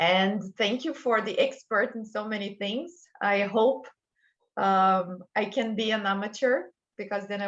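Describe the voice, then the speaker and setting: A woman with a Brazilian accent speaks at a moderate pace with ordinary pitch variation against a quiet background. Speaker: culture and wellbeing consultant. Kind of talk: interview podcast.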